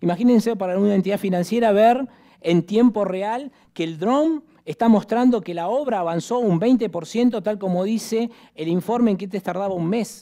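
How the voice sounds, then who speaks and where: A man's high voice with a dark, mellow tone, at a moderate pace over a quiet background. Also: ordinary pitch variation. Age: 50s. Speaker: real estate executive and lecturer; conference speaker. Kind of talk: conference presentation. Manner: animated. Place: hall. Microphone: headset.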